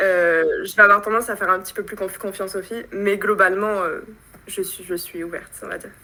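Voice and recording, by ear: A woman talks at a fairly quick pace in a bright, sharp tone. Her pitch is medium and her intonation fairly even.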